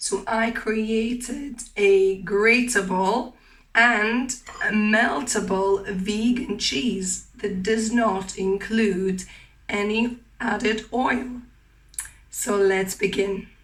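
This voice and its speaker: A woman with a fairly high voice speaks very slowly and in a fairly even tone, with audible room echo and noticeable background noise. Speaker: cooking channel host. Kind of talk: cooking tutorial. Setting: home kitchen. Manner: hesitant, with fillers.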